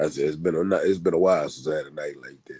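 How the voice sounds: Raspy and hoarse, a man's put-on character voice races at a very fast pace with big swings in loudness.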